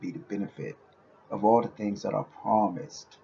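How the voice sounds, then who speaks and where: With an American accent and a fairly low pitch, a man speaks at a fairly quick pace over noticeable background noise. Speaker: YouTuber, social commentator. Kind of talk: unedited monologue. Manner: passionate.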